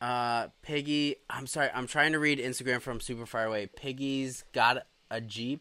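A man's medium-pitched voice with a bright, sharp tone, fairly even intonation, a moderate pace and hardly any pauses, on a very clean recording with a silent background. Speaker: live-stream co-host. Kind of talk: casual chat. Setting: home live stream. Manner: joking.

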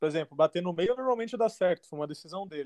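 A man talks at a very fast pace with lively intonation. The sound is dry and close with no echo, against a quiet background. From São Paulo state, Brazil (raised in Guarulhos). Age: 30s. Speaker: professional football goalkeeper. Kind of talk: casual interview.

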